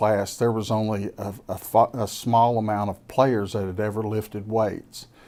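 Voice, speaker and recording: A man with a Kentucky Appalachian accent talks at a fairly slow pace with a fairly low pitch and fairly even intonation. The recording is very clean, with a silent background. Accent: Kentucky Appalachian Southern US. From Kentucky (Laurel County). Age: 60s. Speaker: businessman and former college football player. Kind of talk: casual interview.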